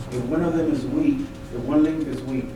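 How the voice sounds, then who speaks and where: A man's voice with ordinary pitch variation amid audible room echo and noticeable background noise. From Mexico. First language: Spanish. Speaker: school board candidate. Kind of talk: public meeting remarks. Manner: halting.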